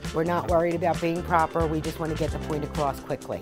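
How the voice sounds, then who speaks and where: Clear music plays in the background. A woman speaks in a Philadelphia accent. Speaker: interviewee, longtime local resident. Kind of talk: interview answer. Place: home room.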